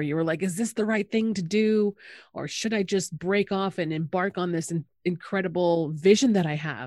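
Here is a woman with a plain, everyday voice at medium pitch and lively intonation. She keeps a moderate pace in a very clean recording with a silent background. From Canada, Anishinaabe. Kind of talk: casual chat.

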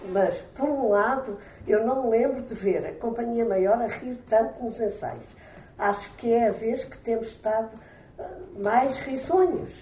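Amid audible room echo and noticeable background noise, a woman talks at a fairly slow pace and fairly high pitch, with ordinary pitch variation and big swings in loudness. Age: 70s. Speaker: retired history teacher, amateur actor. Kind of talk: interview.

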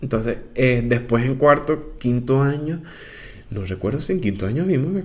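A man speaks at a moderate pace and medium pitch, somewhat breathy. His intonation is lively. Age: 20s. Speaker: podcaster. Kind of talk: casual monologue. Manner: halting with fillers.

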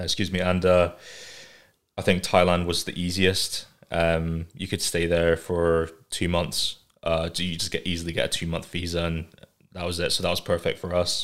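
Here a man with an English accent speaks at a moderate pace in a very deep, low voice and monotone, flat intonation. The recording is very clean with a silent background. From England, raised in Scotland from age five. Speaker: artist and animator. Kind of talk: casual chat.

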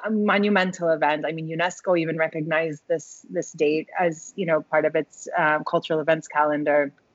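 A woman's ordinary speaking voice, fairly low in pitch, with an American accent and fairly even intonation. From US, Tulsa, Oklahoma. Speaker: ethnomusicology professor. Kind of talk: interview. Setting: video call.

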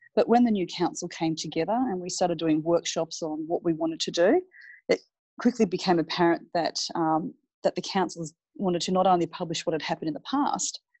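A woman talks at a fairly quick pace in an Australian accent. Her fairly low voice has a dark, mellow tone and a dry, close sound with no echo. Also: ordinary pitch variation. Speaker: city mayor, former army officer and IT professional. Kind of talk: interview. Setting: phone or remote call.

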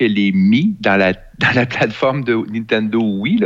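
A man speaks with a Quebec accent and lively intonation. His pace is very slow. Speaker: tech columnist. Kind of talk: casual chat.

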